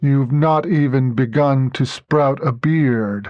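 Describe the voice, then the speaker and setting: Putting on a character voice, a man speaks at a fairly slow pace and a medium pitch. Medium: read story. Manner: grave, unhurried, commanding.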